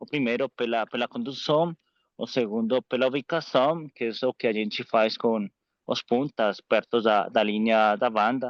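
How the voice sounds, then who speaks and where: In a dry, close sound with no echo and a quiet background, a man with a non-native accent speaks fairly slowly at a medium pitch, his intonation fairly even. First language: Spanish (speaking Portuguese). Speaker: course participant, coach. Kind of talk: question in online course. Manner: halting.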